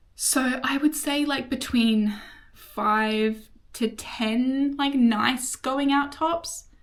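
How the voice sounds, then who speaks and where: A woman speaks at a high pitch with an Australian accent. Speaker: vlogger. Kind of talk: casual chat. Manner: fast; animated.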